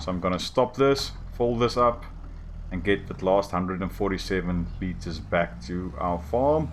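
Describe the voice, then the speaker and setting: A man's very deep, low voice with vocal fry, very wide pitch swings, and a moderate pace. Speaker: gaming YouTuber. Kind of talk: gameplay commentary. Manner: casual, halting.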